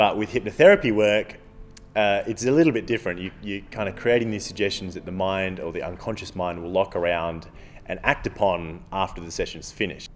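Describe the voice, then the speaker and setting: Speaking fairly quickly in an Australian accent, a man with a fairly low pitch shows ordinary pitch variation and big swings in loudness. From Australia, Adelaide. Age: 20s. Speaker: stage hypnotist. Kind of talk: documentary interview.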